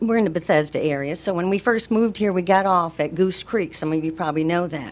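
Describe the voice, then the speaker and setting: In a very clean recording with a silent background, a woman talks at a fairly quick pace in a normal speaking voice, her pitch fairly low with ordinary variation. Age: 60s. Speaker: resident speaking at public comment. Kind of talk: public comment at county meeting. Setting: public meeting room.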